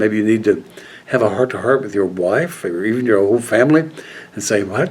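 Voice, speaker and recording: A man's voice over noticeable background noise. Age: 80s+. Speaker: men's life coach video host. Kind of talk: motivational talk to camera. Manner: halting, many fillers.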